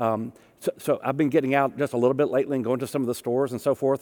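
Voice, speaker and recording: Speaking with a Southern US accent, a man has a fairly high pitch. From US South. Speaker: pastor. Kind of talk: sermon.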